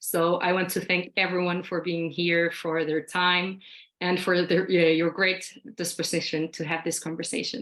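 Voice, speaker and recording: A fairly low-pitched woman with a Spanish accent at a fairly slow pace. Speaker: think tank director. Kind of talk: panel discussion. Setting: video call.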